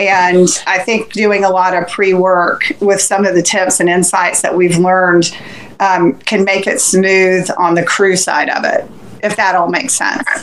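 A woman with an American accent at a medium pitch, very even loudness, monotone, flat intonation, a fairly slow pace, and noticeable background noise. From Central Florida. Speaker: ultrarunner and race crew. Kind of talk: casual chat.

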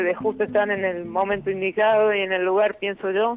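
There is music in the background. A woman speaks at medium pitch. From Argentina, La Rioja. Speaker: electronics engineer. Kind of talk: radio interview. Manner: halting.

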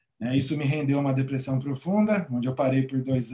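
Fairly even intonation in a fairly high, somewhat breathy male voice. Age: 40s. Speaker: gratitude coach and therapist. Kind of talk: interview conversation.

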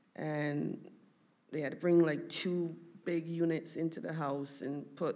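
A woman's very deep, low voice at a very slow pace, with fairly even intonation and audible room echo. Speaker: daughter sharing family testimony. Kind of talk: testimony. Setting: church stage with audience. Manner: halting.

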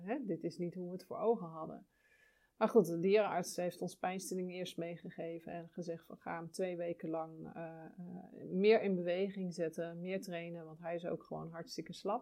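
A woman speaks at a moderate pace in a dark, mellow tone. Her intonation stays fairly even while her loudness swings widely. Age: 40s. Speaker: podcast host and birth counselor. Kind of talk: casual monologue. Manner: hesitant, many fillers.

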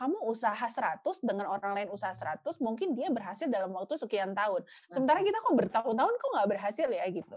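A woman talks at a fairly quick pace. Hers is an unremarkable speaking voice, fairly high in pitch. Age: 40s. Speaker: university lecturer. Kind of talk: casual interview. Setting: podcast.

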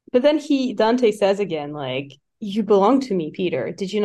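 Lively intonation in a natural reading voice, quiet background

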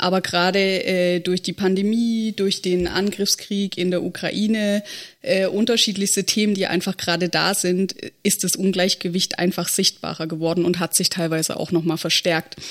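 A woman speaks at medium pitch and a moderate pace, her loudness very even and her intonation flat and monotone, on a very clean recording with a silent background. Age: 30s. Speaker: state election candidate, local party board member. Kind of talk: casual podcast discussion.

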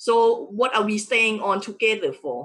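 At a fairly slow pace, a woman speaks in a normal speaking voice, fairly high in pitch, with ordinary pitch variation. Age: 40s. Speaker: entrepreneur and wealth coach. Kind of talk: casual interview. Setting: live stream.

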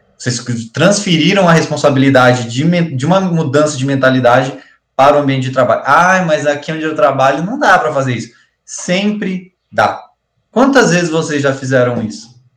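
A man speaks at a moderate pace, somewhat breathy. His pitch is fairly high, with ordinary variation. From interior of Paraná, Brazil. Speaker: college teacher, podcast co-host. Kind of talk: casual chat.

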